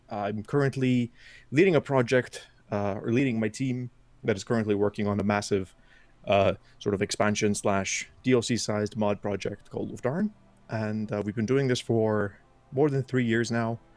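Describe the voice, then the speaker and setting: With fairly even intonation and a medium pitch, the man delivers his words at a moderate pace. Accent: Icelandic. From Iceland. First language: Icelandic. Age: 20s. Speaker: game modder and streamer. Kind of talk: casual interview chat. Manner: halting, many fillers.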